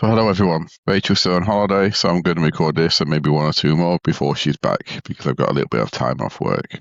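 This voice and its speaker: A man's very deep, low pitch with vocal fry and ordinary pitch variation, at a very fast pace with very even loudness, in a dry, close sound with no echo. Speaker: true crime podcast host. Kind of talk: true crime storytelling; casual chat.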